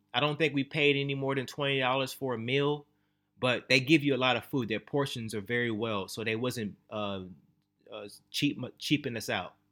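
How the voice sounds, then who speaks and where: A man's medium-pitched voice with a bright, sharp tone at a moderate pace, in a very clean recording with a silent background. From Texas (born in Louisiana). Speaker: travel and finance vlogger. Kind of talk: casual vlog monologue. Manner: casual, filler-heavy.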